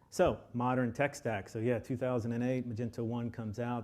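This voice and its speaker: A man with a Texan accent speaks at medium pitch in a very clean recording with a silent background. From Texas, Austin. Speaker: software lead architect. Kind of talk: conference presentation. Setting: stage with audience. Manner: halting, many filler ums.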